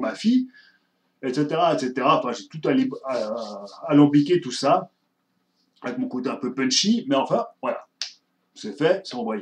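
Speaking at a very slow pace with long, frequent pauses, a man shows big swings in loudness and ordinary pitch variation. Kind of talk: casual vlog chat. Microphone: webcam.

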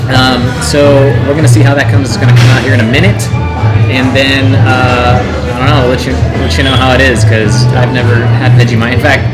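A man talking at a fairly quick pace with ordinary pitch variation, loud music playing in the background. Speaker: vlog co-host. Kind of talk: casual vlog chat. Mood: playful banter. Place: cafe. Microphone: camera far.

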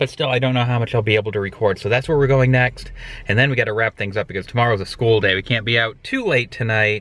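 A man at a very fast pace, fairly even in intonation, dry with no echo. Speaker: family vlogger. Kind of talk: casual vlog chat. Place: car. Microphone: phone near.

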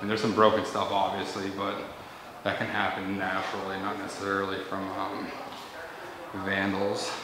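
Noticeable background noise and audible room echo fill the recording. A man with a fairly low pitch speaks at a moderate pace. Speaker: urban explorer narrator. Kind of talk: casual vlog commentary. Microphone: phone near.

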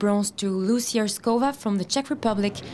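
Noticeable background noise sits behind this woman's voice. Her pitch is medium, with ordinary pitch variation. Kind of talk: news reading of medal results. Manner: brisk, even, formal reading of scores and times.

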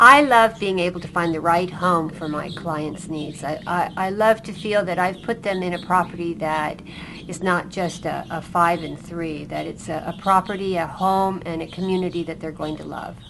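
A woman with an American accent, hardly any pauses, big swings in loudness, ordinary pitch variation and noticeable background noise. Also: fairly low pitch for a woman, moderate pace. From San Francisco Bay Area, California. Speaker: real estate agent. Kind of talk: interview.

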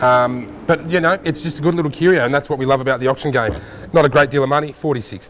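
Very fast speech with ordinary pitch variation over light background noise. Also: man, fairly high pitch for a man. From Australia. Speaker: auction house specialist. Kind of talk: casual conversational podcast banter about auction items. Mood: amused, affectionate. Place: hall. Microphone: lapel.

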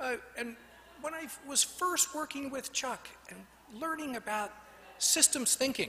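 Projecting in a raised voice at an extremely high pitch, a man speaks at a fairly slow pace with long, frequent pauses, big swings in loudness and ordinary pitch variation, over light background noise. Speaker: design school faculty colleague; speaker. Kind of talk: toast. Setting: stage with audience. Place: hall. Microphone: podium.

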